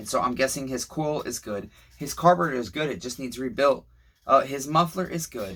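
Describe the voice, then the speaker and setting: At a fairly quick pace, a man speaks in a bright, sharp tone with a fairly high pitch and ordinary pitch variation. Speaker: small engine repairman. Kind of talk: repair tutorial. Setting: workshop. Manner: slurred words; casual, rambling.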